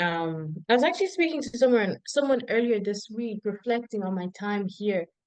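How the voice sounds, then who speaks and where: A woman speaks at medium pitch with a Zimbabwean accent. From Zimbabwe, then Ireland. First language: Shona. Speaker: PhD researcher. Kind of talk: casual interview.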